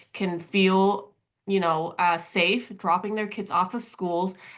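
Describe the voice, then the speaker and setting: A woman speaks at a very slow pace with a medium pitch and ordinary pitch variation. The background is quiet. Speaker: immigrant rights policy advocate. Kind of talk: training presentation. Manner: hesitant, many fillers.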